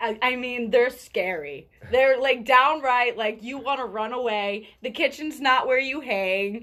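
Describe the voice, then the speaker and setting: Over a quiet background, a woman speaks loudly and fairly slowly, high in pitch, with hardly any pauses. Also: ordinary pitch variation. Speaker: radio podcast co-host. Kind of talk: casual chat.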